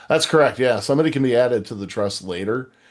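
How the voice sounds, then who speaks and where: This man's intonation is lively, and the background is quiet. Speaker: firearms licensing consultant. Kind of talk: live webinar Q&A. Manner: fast.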